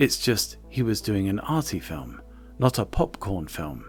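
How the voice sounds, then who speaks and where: Soft-spoken, a man talks at a very slow pace. Music plays in the background. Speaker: video essay narrator. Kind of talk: film history narration. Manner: soft, ASMR-like.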